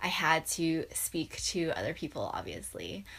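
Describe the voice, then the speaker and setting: A woman with an American accent speaks in a fairly low voice. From US Pacific Northwest, Seattle. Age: 20s. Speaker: YouTuber. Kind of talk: personal story vlog.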